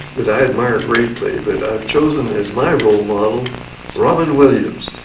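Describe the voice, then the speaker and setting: At a moderate pace, a man with a medium-pitched voice talks amid noticeable background noise and audible room echo. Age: 80s+. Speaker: actor. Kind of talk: talking to camera.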